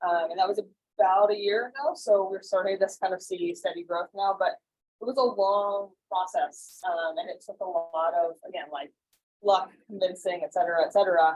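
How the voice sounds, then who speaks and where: A woman is speaking at a medium pitch. Her pitch varies in an ordinary way. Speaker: startup innovation executive. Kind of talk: conference talk. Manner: fast.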